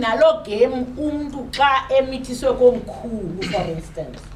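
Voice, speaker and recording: A woman speaks at a high pitch. The recording has noticeable background noise and audible room echo. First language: Xhosa. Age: 60s. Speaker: panel speaker. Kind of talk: public talk. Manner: halting.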